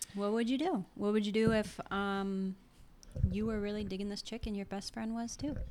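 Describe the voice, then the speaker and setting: A woman's normal speaking voice, medium in pitch, with fairly even intonation at a moderate pace. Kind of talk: casual chat.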